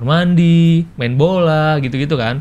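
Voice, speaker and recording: A fairly high-pitched man with fairly even intonation, a plain, everyday voice. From Jambi, Sumatra, Indonesia; Indonesia. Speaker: video content creator. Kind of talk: casual interview. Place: studio.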